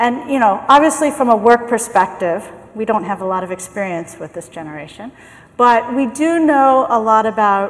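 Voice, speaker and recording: A woman speaks at a fairly slow pace with lively intonation. Hers is an ordinary speaking voice with a fairly high pitch. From US, San Francisco. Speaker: management consultant and keynote speaker. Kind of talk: keynote talk. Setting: conference stage with microphone.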